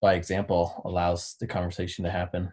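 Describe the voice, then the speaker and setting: A man speaks at a fairly quick pace in a somewhat breathy voice. The background is quiet. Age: 30s. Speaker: endurance coach. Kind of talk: testimony.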